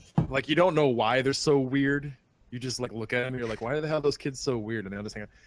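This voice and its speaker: A man speaks with a Midwestern accent at a medium pitch with ordinary pitch variation. His speech has long, frequent pauses. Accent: Midwestern drawl. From US Midwest. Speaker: podcast guest, gaming community admin. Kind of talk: casual chat. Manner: halting, many fillers.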